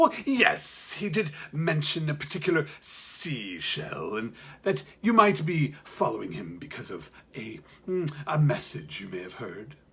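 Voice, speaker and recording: A put-on character voice moves at a fairly slow pace. Its pitch swings very widely and its loudness rises and falls a lot. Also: man, fairly high pitch for a man. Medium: read story. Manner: slow, smooth, knowing.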